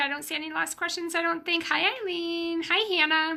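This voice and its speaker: A woman speaks in a raised, projected voice on a very clean recording with a silent background. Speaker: business coach. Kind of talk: live stream Q&A. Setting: Facebook live video stream. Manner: animated.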